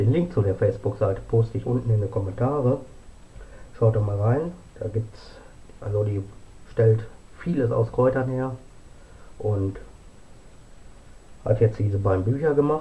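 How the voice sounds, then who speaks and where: Using ordinary pitch variation, a man speaks at a moderate pace with long, frequent pauses. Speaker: home vlogger presenting books. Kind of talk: casual vlog chat. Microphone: camera far.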